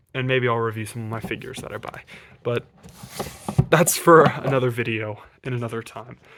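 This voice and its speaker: A man's medium-pitched voice at a fairly quick pace, with fairly even intonation, long and frequent pauses, and big swings in loudness amid noticeable background noise. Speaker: video creator showing collection. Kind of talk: casual collection showcase. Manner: casual with fillers; fast.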